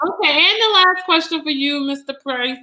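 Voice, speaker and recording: Raised and projected, a woman's high voice has a bright, sharp tone. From Louisiana, Donaldsonville. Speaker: debate moderator. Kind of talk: moderating a town hall.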